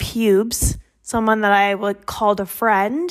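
A woman with an American accent, speaking at a very slow pace with fairly even intonation. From US West Coast, Sacramento suburbs. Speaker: story contributor. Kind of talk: personal story, voice memo.

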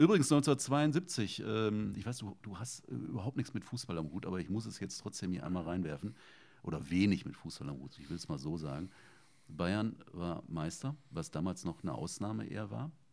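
A man's very deep, low voice with vocal fry and very wide pitch swings. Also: moderate pace. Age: 50s. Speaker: podcast host. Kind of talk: casual interview.

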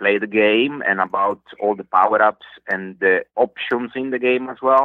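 A man with an Italian accent speaks at a medium pitch and moderate pace, with ordinary pitch variation. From Italy. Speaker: hobby game developer. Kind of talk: coaching call. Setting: call. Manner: hesitant, many fillers.

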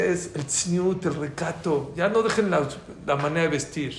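Amid noticeable background noise and audible room echo, a man with a high pitch speaks at a fairly slow pace with ordinary pitch variation. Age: 60s. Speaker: religious teacher. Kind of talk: lecture. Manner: animated.

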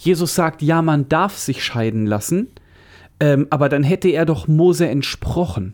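A man with a plain, everyday voice talks at a fairly high pitch and a fairly slow pace, with lively intonation. The recording is very clean, with a silent background. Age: 40s. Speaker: podcast host. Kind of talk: casual chat. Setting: studio.

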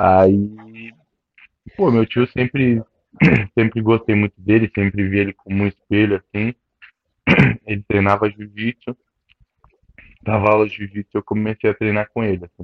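Pausing long and often, a man talks in a fairly low pitch with monotone, flat intonation. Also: moderate pace. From southern Brazil (Caxias do Sul, then Criciúma). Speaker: jiu-jitsu instructor and grappler. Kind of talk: casual interview.

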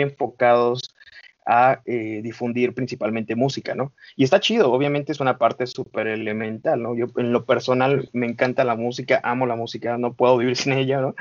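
A man's medium-pitched voice, flat and monotone, at a fairly quick pace. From Mexico, Estado de México (Coacalco). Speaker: founder of an independent music media outlet. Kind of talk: podcast interview.

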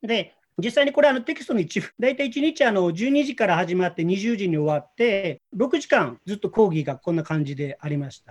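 Talking at a fairly quick pace with hardly any pauses, a man with a high pitch makes very wide pitch swings and big swings in loudness. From Japan, Osaka. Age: 50s. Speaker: former banker presenting an AI learning project. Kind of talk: presentation on video call. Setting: video call.

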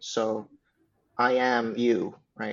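A man with a Swedish accent talks at a medium pitch. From Sweden, Uppsala. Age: 20s. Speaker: religious community leader. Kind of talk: casual chat.

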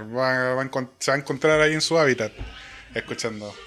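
A man with a Chilean accent speaks at a medium pitch. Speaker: podcast co-host. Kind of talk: casual chat about music.

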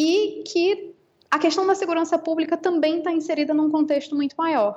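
A woman speaking at a moderate pace. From Brazil. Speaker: law professor and researcher. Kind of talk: interview.

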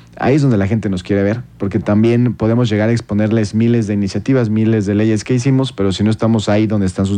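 A man speaks at a very fast pace. His fairly low voice has a dark, mellow tone. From Mexico, Querétaro. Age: 30s. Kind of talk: radio interview.

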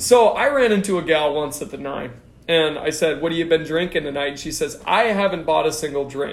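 Over noticeable background noise, a man with a fairly high voice talks at a fairly quick pace in an animated tone, his pitch varying in an ordinary way. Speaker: podcast host. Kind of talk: casual banter. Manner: joking, animated.

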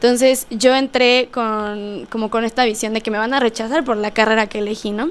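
In an unremarkable speaking voice, the delivery runs at a moderate pace with fairly even intonation and hardly any pauses. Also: woman, fairly high pitch for a woman. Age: 20s. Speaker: political science graduate. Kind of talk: casual interview.

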